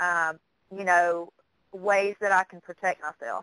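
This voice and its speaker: Speaking at a fairly slow pace, a woman has a bright, sharp tone and a Southern US accent. The sound is dry and close, with no echo. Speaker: psychic medium. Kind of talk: radio interview.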